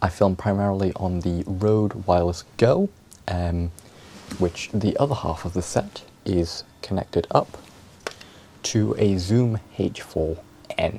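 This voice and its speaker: A soft-spoken man talks at a very deep, low pitch with fairly even intonation. His speech has long, frequent pauses. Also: fairly slow pace. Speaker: video creator. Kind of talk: tutorial.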